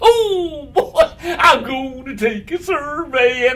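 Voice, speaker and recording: A put-on character voice, high-pitched, speaks very slowly over light background noise. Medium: read story. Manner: eager, chirpy.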